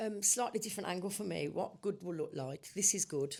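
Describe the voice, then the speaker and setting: A woman with a British accent, at a moderate pace. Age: 60s. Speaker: construction industry panelist. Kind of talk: panel discussion.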